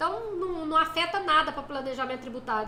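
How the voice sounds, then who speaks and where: A woman with an extremely high pitch and ordinary pitch variation speaks at a fairly quick pace in a raised, projected voice, with audible room echo. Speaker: tax specialist teaching a course. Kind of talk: live-stream lecture. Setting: live stream. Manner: casual, chatty with viewers.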